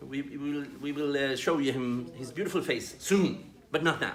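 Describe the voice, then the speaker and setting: This man speaks with a Swedish accent. His pitch is fairly high. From Sweden. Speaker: development worker presenting training videos. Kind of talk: tutorial. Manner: halting, with repetitions.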